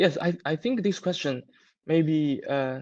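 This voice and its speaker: A man with a non-native accent talks at a fairly quick pace against a quiet background. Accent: non-native English, self-described weak. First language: Chinese. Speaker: solar equipment manufacturer representative. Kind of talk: live webinar Q&A. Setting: online webinar. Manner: halting.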